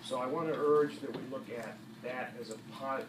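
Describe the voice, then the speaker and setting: There is audible room echo and noticeable background noise around a man speaking at a medium pitch. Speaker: member of the public at a hearing. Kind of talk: public comment speech. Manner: soft-spoken; halting.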